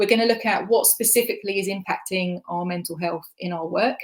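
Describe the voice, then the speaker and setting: Talking at a fairly quick pace, a woman with a slight Essex accent uses a medium pitch. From Essex, England. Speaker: communications manager. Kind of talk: conference talk.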